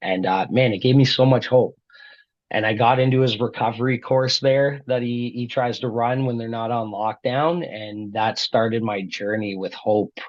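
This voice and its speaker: In a Canadian accent, an unremarkable speaking voice moves at a moderate pace with fairly even intonation. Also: man, medium pitch for a man. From Brampton, Ontario, Canada. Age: 30s. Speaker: guest sharing recovery story. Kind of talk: testimony.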